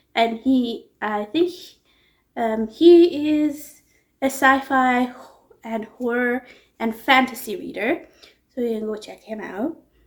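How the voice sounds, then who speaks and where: A woman mumbles at a very slow pace in a high voice, with ordinary pitch variation, big swings in loudness, and long, frequent pauses. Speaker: booktuber. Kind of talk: casual vlog talk. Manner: mumbling; hesitant with fillers.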